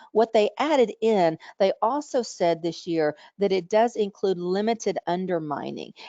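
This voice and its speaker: A woman speaks at a medium pitch with ordinary pitch variation. Hers is a plain, everyday voice. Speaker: coding trainer and webinar presenter. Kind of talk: webinar lecture. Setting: online webinar.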